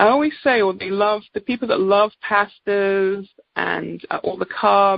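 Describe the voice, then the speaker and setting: With an English accent, a woman talks at a medium pitch. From England. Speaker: naturopathic doctor. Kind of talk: product presentation. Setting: conference call.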